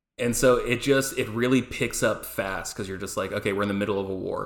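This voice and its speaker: Male speech in an ordinary speaking voice, medium in pitch, with ordinary pitch variation. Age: 30s. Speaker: podcast guest, anime fan. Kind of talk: casual chat.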